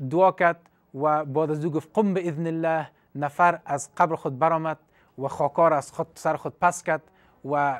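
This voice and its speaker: A man speaks at a moderate pace with fairly even intonation over a quiet background. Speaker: religious teacher on TV. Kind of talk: religious storytelling lecture. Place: studio. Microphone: lapel.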